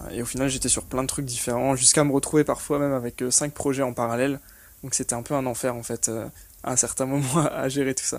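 A man speaks at a very fast pace. His intonation stays monotone and flat. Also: medium pitch for a man. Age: 20s. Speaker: online business operations manager. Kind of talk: interview.

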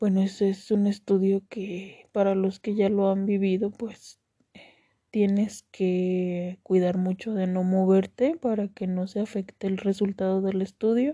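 Her tone is dark and mellow, with monotone, flat intonation. The woman speaks at a fairly slow pace against a quiet background. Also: medium pitch for a woman. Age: 30s. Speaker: cancer survivor podcaster. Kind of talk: personal testimony. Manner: hesitant, many fillers.

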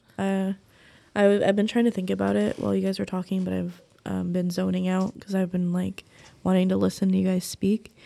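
Fairly quick speech in an American accent on a very clean recording with a silent background. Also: woman. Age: 20s. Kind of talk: casual chat.

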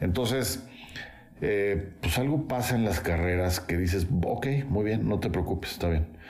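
Heard with audible room echo, a man with a very deep, low pitch speaks at a fairly slow pace, his intonation lively and his loudness very even. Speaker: architect and musician. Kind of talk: casual interview.

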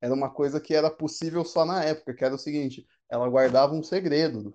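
A man speaks at a fairly quick pace in a normal speaking voice, his pitch fairly high. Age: 30s. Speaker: podcast co-host. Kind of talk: casual chat.

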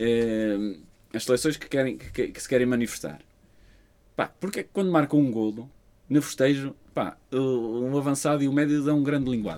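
Pausing long and often, a man at medium pitch has a dark, mellow tone and big swings in loudness. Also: ordinary pitch variation, moderate pace. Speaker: podcast co-host. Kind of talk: casual chat.

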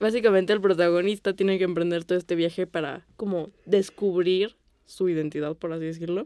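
A woman's dark, mellow tone, fairly even intonation and fairly quick pace. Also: medium pitch for a woman. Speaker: film podcast co-host. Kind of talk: casual chat.

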